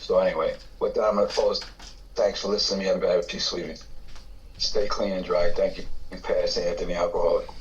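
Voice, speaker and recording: Despite long, frequent pauses, a man talks at a very fast pace in an extremely high pitch with monotone, flat intonation and audible room echo. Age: 60s. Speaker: recovering addict sharing at meeting. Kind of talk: testimony.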